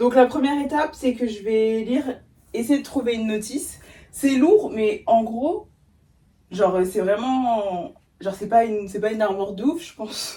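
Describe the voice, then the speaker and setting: A woman speaks at a fairly high pitch and a moderate pace, in a dark, mellow tone. Her pitch varies in an ordinary way while her loudness swings widely. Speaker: lifestyle vlogger. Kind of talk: casual vlog talk to camera. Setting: at home in her bedroom.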